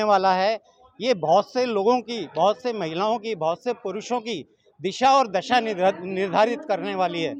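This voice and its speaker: With ordinary pitch variation, a man speaks at a high pitch in a dry, close recording with no echo. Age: 70s. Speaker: participant seeking a life partner. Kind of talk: interview. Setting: event venue.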